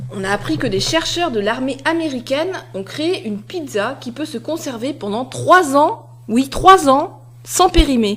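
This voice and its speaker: A woman's fairly slow speech with big swings in loudness over noticeable background noise. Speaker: radio co-host. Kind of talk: press review banter.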